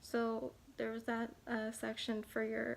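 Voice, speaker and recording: A woman is soft-spoken. Her intonation is monotone and flat. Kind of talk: ASMR soft-spoken talk to camera.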